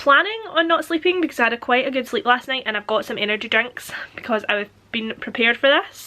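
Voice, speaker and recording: A woman's raised, projected, high-pitched voice in a British accent, bright and sharp in tone, with lively intonation at a fairly quick pace. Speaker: book vlogger. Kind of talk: casual vlog chat.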